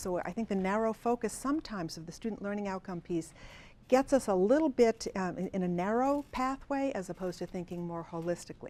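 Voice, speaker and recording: Lively intonation marks this woman's speech. She talks at a fairly quick pace with a medium pitch. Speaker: university assessment administrator. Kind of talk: conference presentation. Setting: conference session with audience. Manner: fast; casual, filler-heavy.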